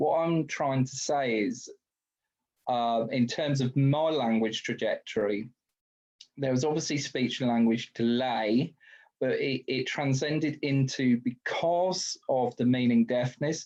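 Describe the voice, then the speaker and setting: Someone with a British accent speaks at a fairly slow pace with fairly even intonation. The background is quiet. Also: man, medium pitch for a man. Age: 30s. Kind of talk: webinar talk. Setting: video call.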